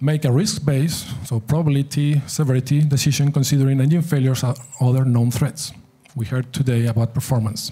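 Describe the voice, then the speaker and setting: A man speaks with a non-native accent in a dark, mellow tone that is somewhat breathy. His intonation is fairly even and his loudness very even. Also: medium pitch for a man, fairly quick pace. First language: not English. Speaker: aviation safety speaker. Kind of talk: conference presentation.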